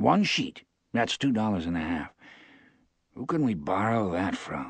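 A man speaks in a put-on character voice at a medium pitch. His tone is gentle and confident, and his pace is very slow. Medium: read story. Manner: simple, gentle, quietly confident.

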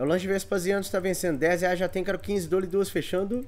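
A man with a high-pitched voice at a fairly quick pace. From Minas Gerais, Brazil. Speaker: online auctioneer. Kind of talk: live online auction, sales pitch. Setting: studio, live video stream. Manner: animated, chatty, repeats prices. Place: home room. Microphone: webcam.

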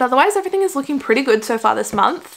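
A woman's lively intonation comes through in an Australian accent. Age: 20s. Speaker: YouTuber. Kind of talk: casual vlog chat. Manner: animated. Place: home room.

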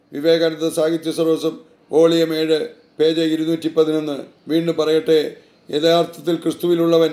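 A man's voice, high in pitch. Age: 70s. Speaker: author and religious teacher. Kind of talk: reading aloud own book with commentary. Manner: halting, with frequent self-corrections.

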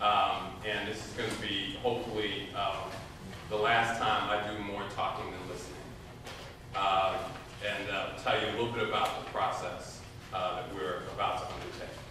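A man speaks at a moderate pace in a room with strong echo and noticeable background noise. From Chicago. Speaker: foundation executive. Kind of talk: community meeting talk and Q&A. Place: hall. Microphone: camera far.

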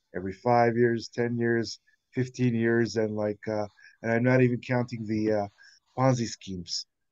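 Against a quiet background, a man talks in a medium pitch with a dark, mellow tone and flat, monotone intonation. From Libya. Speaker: audience member asking questions; audience member. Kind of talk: audience question. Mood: encouraging, informal. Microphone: video call.

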